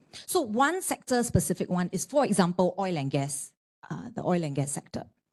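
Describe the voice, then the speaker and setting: A woman speaks with a fairly low pitch, a dark, mellow tone and lively intonation. The background is quiet. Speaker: arbitration lawyer, panellist. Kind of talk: panel discussion talk. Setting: panel event with audience.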